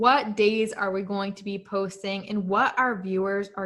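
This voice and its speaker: She has an ordinary speaking voice, and this woman's intonation stays fairly even. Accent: American. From United States. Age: 20s. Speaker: podcast co-host, finance student. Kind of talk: casual podcast chat.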